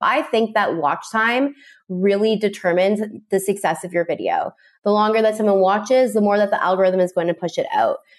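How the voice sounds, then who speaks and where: A woman with a Canadian accent speaks at a fairly quick pace and a medium pitch, with ordinary pitch variation and very even loudness. It's an ordinary speaking voice over a quiet background. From Canada. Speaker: recipe creator, former teacher. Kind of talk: casual interview chat. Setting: video call.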